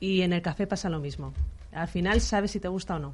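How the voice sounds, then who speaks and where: Against a quiet background, a woman with an ordinary speaking voice and a fairly low pitch talks at a moderate pace. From Valencia, Spain. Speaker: coffee business owner. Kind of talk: interview.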